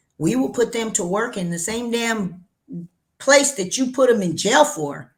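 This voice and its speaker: A woman speaks with an American accent at a fairly slow pace, her pitch fairly high and her intonation lively. Her tone is animated and somewhat breathy. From New Mexico, US Southwest. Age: 60s. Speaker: cannabis entrepreneur. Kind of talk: interview.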